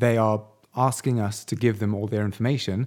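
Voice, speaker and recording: Fairly low in pitch, a man speaks with a British accent and a dark, mellow tone. He keeps a fairly quick pace with fairly even intonation. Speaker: podcast co-host. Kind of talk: casual podcast chat.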